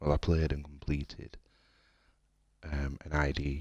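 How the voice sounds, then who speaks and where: Quiet and monotone, a man speaks with flat intonation at a moderate pace. His pitch is very deep and low. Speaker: gaming streamer. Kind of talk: casual live stream chat. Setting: home, late at night. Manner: quiet, speaking low.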